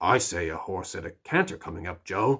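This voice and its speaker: A man puts on a gruff, raspy character voice, speaking at a moderate pace with big swings in loudness. The recording is very clean, the background silent. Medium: read story. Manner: gruff, irritable.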